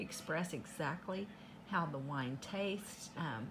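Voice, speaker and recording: Noticeable background noise behind a woman speaking fairly low. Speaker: unboxing vlogger. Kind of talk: casual vlog chat. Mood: cheerful, grateful. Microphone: phone near.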